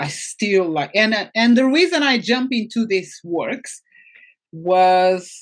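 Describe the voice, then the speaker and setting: Speaking very slowly in a Portuguese accent, the voice carries lively intonation. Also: woman. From Portugal. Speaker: financial coach for women. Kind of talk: interview. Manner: halting.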